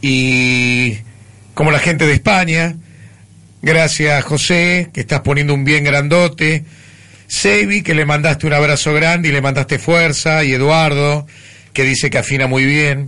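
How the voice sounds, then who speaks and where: The voice has a bright, sharp tone and very even loudness. It moves at a fairly slow pace with fairly even intonation. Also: man, fairly high pitch for a man. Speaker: radio host. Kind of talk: radio show, warm interview. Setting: radio studio.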